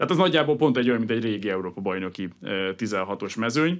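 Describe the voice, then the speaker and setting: Against a quiet background, a man talks very fast in a fairly low pitch, his intonation lively. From Hungary. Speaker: sports economist. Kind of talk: radio interview. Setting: studio. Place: studio. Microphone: studio mic.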